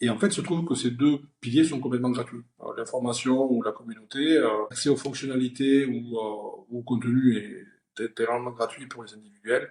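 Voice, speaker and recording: The delivery comes at a moderate pace in a southern French accent. Intonation stays fairly even. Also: man. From southern France (Perpignan). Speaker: company founder and CEO. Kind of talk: interview. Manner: hesitant, many fillers.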